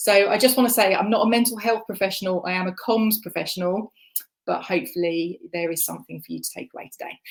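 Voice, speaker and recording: A woman with a slight Essex accent speaks at a medium pitch and a fairly quick pace, her pitch rising and falling in an ordinary way. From Essex, England. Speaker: communications manager. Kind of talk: conference talk.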